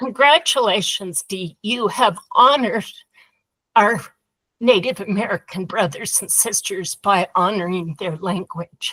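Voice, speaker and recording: A woman with a Utah accent speaks fairly slowly in a bright, sharp tone with ordinary pitch variation, the sound dry and close with no echo. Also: medium pitch for a woman, big swings in loudness. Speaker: workshop participant. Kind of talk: group discussion.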